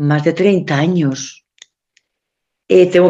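The woman's voice sits at a very deep, low pitch with ordinary pitch variation. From Spain, Valencia. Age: 60s. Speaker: nun, convent superior. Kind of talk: radio talk show interview. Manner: halting, many fillers and repetitions.

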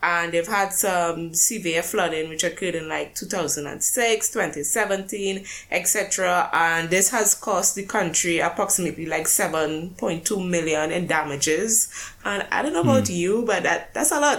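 A woman with a fairly low pitch speaks at a fairly slow pace, with ordinary pitch variation and hardly any pauses. Noticeable background noise is present. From Caribbean. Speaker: podcast co-host. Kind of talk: casual chat. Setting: remote call from UK. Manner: rambling.

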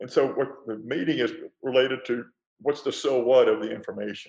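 Speaking with a Texan accent, a man keeps a moderate pace. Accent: Texan American. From Texas, Fort Worth. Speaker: former presidential advisor. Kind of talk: interview about leadership.

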